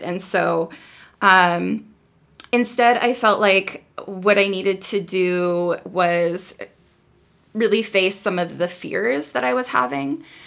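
Her pitch lands in a middle register. This woman talks very slowly. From North Dakota. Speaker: novelist. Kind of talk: interview. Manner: halting, many fillers.

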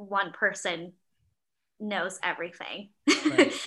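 A woman's medium-pitched voice with an American accent, bright, sharp tone and very slow pace. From Miami, Florida. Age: 20s. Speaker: church video producer. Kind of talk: casual chat.

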